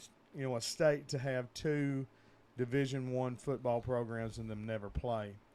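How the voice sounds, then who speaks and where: Fairly slow speech from a man with an Arkansas accent, medium in pitch, with a dark, mellow tone. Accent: US Southern (Arkansas). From Northeast Arkansas (Truman, near Jonesboro). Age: 40s. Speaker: sports podcast co-host. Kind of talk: casual chat.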